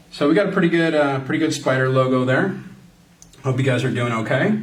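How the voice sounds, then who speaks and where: Fairly quick male speech with audible room echo. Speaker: art tutorial presenter, creative director. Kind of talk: drawing tutorial. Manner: casual, friendly, addressing kids.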